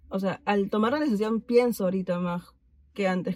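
A woman speaks in a somewhat breathy voice. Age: 20s. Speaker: friend of the host. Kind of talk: casual chat.

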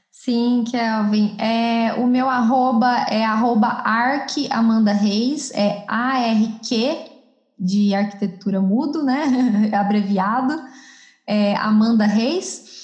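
A woman's somewhat breathy, fairly high voice at a very slow pace, with very even loudness and audible room echo. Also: ordinary pitch variation. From southern Minas Gerais, Brazil. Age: 20s. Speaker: architect. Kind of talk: podcast interview.

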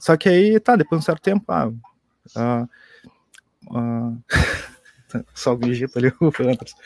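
In a dry, close sound with no echo, a man at medium pitch uses lively intonation and leaves long, frequent pauses. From Pelotas, southern Brazil. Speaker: IT university staff / developer. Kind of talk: casual chat. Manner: halting.

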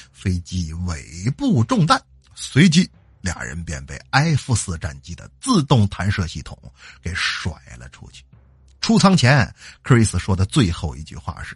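In a Northeastern Chinese accent, a man speaks at a fairly slow pace with a very deep, low pitch, vocal fry, very wide pitch swings and big swings in loudness, all over a quiet background. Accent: Northeastern Mandarin. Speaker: podcast host and storyteller. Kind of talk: storytelling. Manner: animated.

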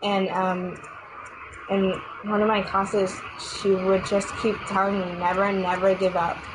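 A woman with an American accent speaks at a fairly slow pace in a medium pitch, her intonation monotone and flat and her loudness very even, with long, frequent pauses, audible room echo and noticeable background noise. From New York City (Queens). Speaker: ballet dancer. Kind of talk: interview.

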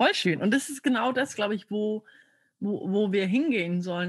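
The voice is somewhat breathy and moves at a moderate pace. The background is quiet. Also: woman. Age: 20s. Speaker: coaching client, coach. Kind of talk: coaching session. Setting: video call.

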